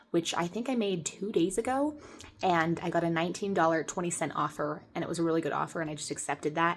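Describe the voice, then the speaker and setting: A quiet woman's voice, fairly low in pitch with ordinary variation, at a very fast pace. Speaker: part-time online clothing reseller. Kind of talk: casual haul-style sales review. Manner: hushed, quiet.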